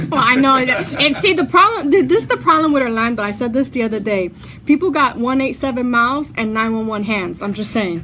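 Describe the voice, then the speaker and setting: Here a woman speaks at a fairly quick pace with lively intonation. Her pitch is high. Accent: New York. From New York, Brooklyn. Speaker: radio host. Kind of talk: casual chat. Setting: studio.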